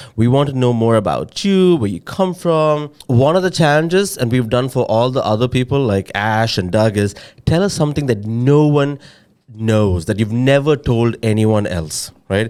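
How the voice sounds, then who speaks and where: Over a silent background in a very clean recording, a man with an Indian accent talks at a moderate pace in a medium pitch with lively intonation. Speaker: podcast co-host, head of product. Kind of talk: casual chat.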